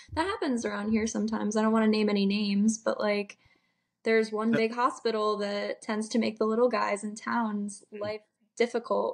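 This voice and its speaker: The pace is fairly quick. The intonation is monotone and flat. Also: woman, fairly high pitch for a woman. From Rhode Island. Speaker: medical student and army member. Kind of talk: casual chat.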